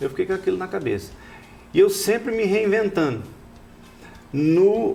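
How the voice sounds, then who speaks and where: A man's pitch swings very widely against noticeable background noise. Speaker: rodeo announcer and radio host. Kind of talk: interview answer, telling his life story.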